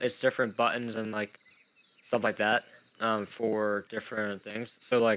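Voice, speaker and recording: At a fairly slow pace, a man talks in a monotone, flat delivery with fairly low pitch. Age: 30s. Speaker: gaming commentator. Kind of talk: casual live game commentary.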